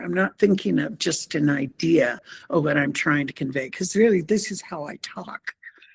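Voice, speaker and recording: A woman with vocal fry talks at a moderate pace, her pitch swinging very widely. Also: hardly any pauses. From Montana, Blackfeet Nation. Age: 70s. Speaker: painter. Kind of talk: artist presentation. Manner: halting, many fillers.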